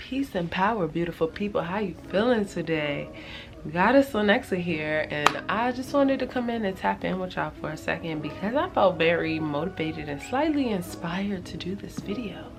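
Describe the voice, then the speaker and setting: Over music in the background, a woman in a relaxed tone talks at a moderate pace, her fairly low voice making very wide pitch swings. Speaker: lifestyle vlogger. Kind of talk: casual vlog talk to camera. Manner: casual, relaxed, many fillers.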